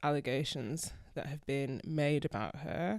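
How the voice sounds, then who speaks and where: Someone with a Yorkshire accent speaks on a very clean recording against a silent background. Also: woman. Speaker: podcast co-host. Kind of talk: casual chat.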